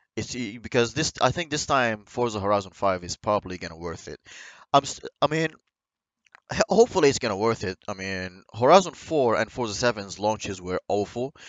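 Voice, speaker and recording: With a non-native accent, a man speaks at a fairly quick pace and fairly low pitch, his loudness swinging widely. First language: not English. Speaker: gaming YouTuber. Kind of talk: video game commentary. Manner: halting.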